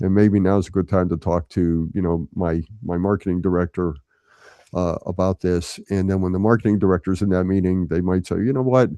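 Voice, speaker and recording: With a very deep, low pitch and a dark, mellow tone, a man talks at a fairly quick pace and fairly even intonation, recorded dry and close with no echo against a quiet background. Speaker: crisis communications consultant. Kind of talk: webinar talk. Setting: video call webinar. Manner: halting with frequent repetitions.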